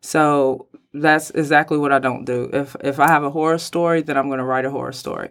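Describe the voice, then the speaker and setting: A woman with an American accent, very deep and low in pitch, monotone and flat, at a fairly quick pace, on a very clean recording with a silent background. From Kentucky, Mount Sterling. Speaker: indie author. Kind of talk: interview. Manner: halting.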